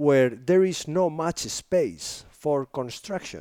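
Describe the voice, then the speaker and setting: Recorded very cleanly against a silent background, a man's dark, mellow voice carries lively intonation in a dry, close sound with no echo. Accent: Spanish. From northern Spain. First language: Spanish. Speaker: filmmaker and photographer. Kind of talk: interview conversation. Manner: enthusiastic, polite.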